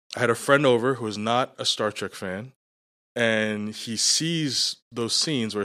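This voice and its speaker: A man with a medium-pitched, unremarkable speaking voice and ordinary pitch variation is recorded very cleanly against a silent background, the sound dry and close with no echo. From US, New York City. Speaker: former architect entering ministry. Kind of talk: casual interview chat.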